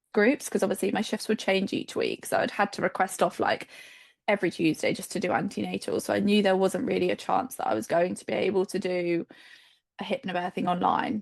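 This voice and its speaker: This woman talks at a medium pitch with vocal fry. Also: ordinary pitch variation, fairly quick pace. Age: 20s. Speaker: children's nurse and new mother. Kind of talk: casual interview, birth story.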